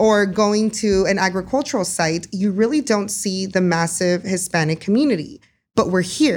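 A woman with an American accent has an ordinary speaking voice at medium pitch, with ordinary pitch variation and a moderate pace. Her loudness stays very even on a very clean recording with a silent background. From US South, Texas Rio Grande Valley. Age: 30s. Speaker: media company co-owner. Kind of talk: interview.

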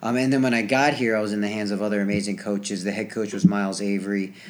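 Audible room echo surrounds a man's voice. He speaks fairly low, with fairly even intonation. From New Jersey. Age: 20s. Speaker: gymnast. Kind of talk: casual chat. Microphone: old equipment, some feedback and quiet.

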